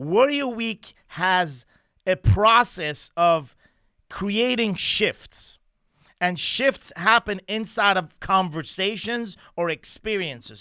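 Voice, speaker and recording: In a raised, projected voice with a bright, sharp tone, a man with a non-native accent speaks at a high pitch and a very slow pace with lively intonation, on a very clean recording with a silent background. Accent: foreign. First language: not English (Persian or French). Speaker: lead trainer of men's coaching program. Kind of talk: podcast conversation. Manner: halting, with filler words.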